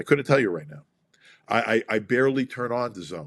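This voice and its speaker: Speaking at a fairly quick pace, a man with a New York accent sounds animated. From US Northeast, Brooklyn. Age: 60s. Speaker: boxing promoter. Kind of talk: interview.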